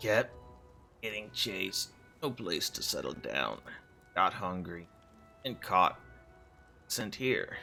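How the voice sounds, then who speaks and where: Using a put-on character voice, a man talks at a fairly slow pace with long, frequent pauses and fairly low pitch while clear music plays behind him. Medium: game stream. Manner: broken clipped speech.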